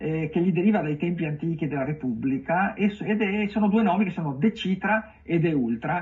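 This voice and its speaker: A man speaks at a high pitch with a slight Venetian accent. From Venice, Italy. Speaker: writer. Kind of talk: TV interview. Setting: live streamed TV interview. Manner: halting, many fillers.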